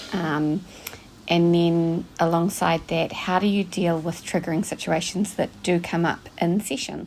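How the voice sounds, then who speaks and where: A woman with a New Zealand accent speaks very slowly at a fairly low pitch. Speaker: listener leaving a voicemail question. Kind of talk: recorded voicemail question.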